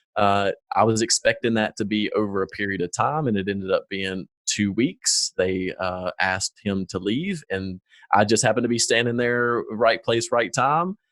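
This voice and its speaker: Recorded very cleanly with a silent background and a dry, close sound with no echo, a man with a strong Southern US accent speaks at medium pitch. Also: ordinary pitch variation, moderate pace. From US South, North Carolina foothills. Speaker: former corporate manager, business owner. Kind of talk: interview conversation.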